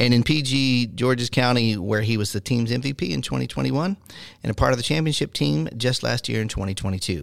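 A man with a plain, everyday voice speaks at a medium pitch and a moderate pace with lively intonation, on a very clean recording with a silent background. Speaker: radio host. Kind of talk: radio interview.

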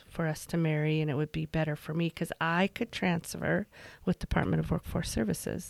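It is an ordinary speaking voice, a woman's, fairly low in pitch with fairly even intonation. The sound is dry and close, with no echo. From Utah, rural Emery County (moved from Virginia at 12). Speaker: regional government agency director. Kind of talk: interview conversation.

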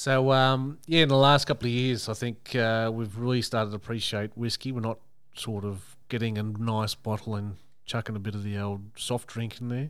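On a very clean recording with a silent background, a man with an Australian accent speaks at a moderate pace and medium pitch, with fairly even intonation. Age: 30s. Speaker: podcast co-host. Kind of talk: casual chat.

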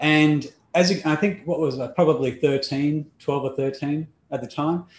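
With an Australian accent, a man with a fairly high, somewhat breathy voice speaks at a fairly slow pace with ordinary pitch variation. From Australia (Melbourne, later Perth). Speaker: life coach. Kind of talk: interview conversation.

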